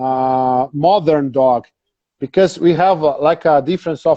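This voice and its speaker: This man speaks with a Brazilian Portuguese accent. His pace is fairly slow, with ordinary pitch variation. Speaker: dog breeder. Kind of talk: interview. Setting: Instagram live video call. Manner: halting.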